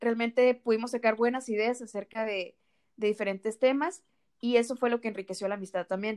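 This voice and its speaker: A woman with an unremarkable speaking voice talks at a fairly quick pace in a fairly high pitch. Her intonation is fairly even, and the sound is dry and close with no echo. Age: 20s. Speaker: nutrition student, podcast co-host. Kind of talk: casual chat. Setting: recording separately at home.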